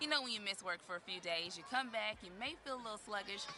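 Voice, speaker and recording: A woman talks at a very fast pace with lively intonation while music plays in the background. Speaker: sports anchor and reporter. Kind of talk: TV sports news anchoring and reporting.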